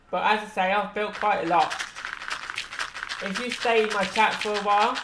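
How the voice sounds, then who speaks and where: The speech runs at a moderate pace against noticeable background noise. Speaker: gaming streamer. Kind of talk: casual live-stream chat. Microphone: sometimes far from mic.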